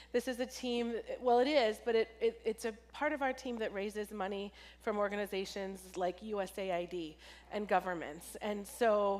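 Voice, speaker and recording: Here a woman has a normal speaking voice with a fairly high pitch and ordinary pitch variation. She talks at a moderate pace. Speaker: pastor, charity engagement director. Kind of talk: church talk.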